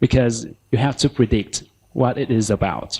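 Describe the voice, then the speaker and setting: A man with a Vietnamese accent talks at a medium pitch with vocal fry and ordinary pitch variation. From southern Vietnam, Ho Chi Minh City. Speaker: language teacher. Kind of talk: conference talk.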